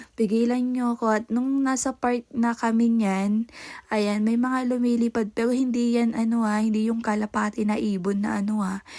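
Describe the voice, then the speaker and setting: In a fairly high voice, a woman speaks at a moderate pace with monotone, flat intonation. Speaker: vlogger. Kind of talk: vlog voice-over narration.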